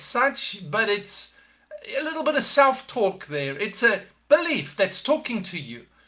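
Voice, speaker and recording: This man talks in a raised, projected voice with a South African accent. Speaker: podcast host, leadership coach. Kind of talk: motivational talk. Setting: live podcast broadcast.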